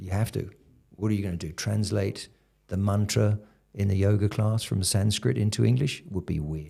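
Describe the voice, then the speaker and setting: The voice has a dark, mellow tone, somewhat breathy, with a British accent. Its pitch moves with ordinary variation. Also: man, fairly low pitch for a man, moderate pace. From UK. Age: 60s. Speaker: karate instructor. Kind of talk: casual chat. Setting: studio.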